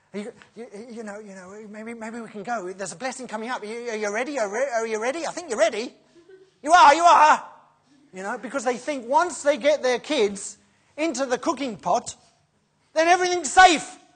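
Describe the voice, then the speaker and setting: A high-pitched woman talks at a fairly quick pace in an animated tone with lively intonation, big swings in loudness, and long, frequent pauses. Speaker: preacher. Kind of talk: sermon.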